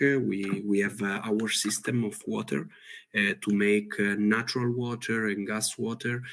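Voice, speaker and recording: A man talks at a fairly slow pace. His intonation stays flat and monotone. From Italy. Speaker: chef. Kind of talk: presentation. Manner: halting.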